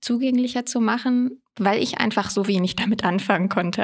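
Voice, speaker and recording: Her intonation stays fairly even. The woman's pace is moderate. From Rhineland-Palatinate, Germany (Koblenz). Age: 20s. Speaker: parliamentary staffer, former first-generation student. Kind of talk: casual interview. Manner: hesitant, many fillers.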